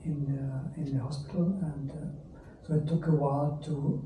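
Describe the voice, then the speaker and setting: Noticeable background noise and audible room echo surround this man's voice. He speaks at a fairly high pitch with monotone, flat intonation. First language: not English. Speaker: stroke patient. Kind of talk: testimony. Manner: halting.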